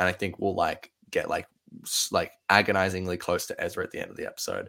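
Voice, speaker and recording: The recording is very clean and silent behind him as a man speaks in an Australian accent. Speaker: podcast host. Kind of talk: casual chat. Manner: excited.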